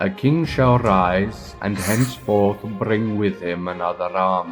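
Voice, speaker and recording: With music in the background, the speaker uses an enthusiastic, dramatic tone at a fairly slow pace, with ordinary pitch variation. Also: man. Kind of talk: dramatised game lore narration.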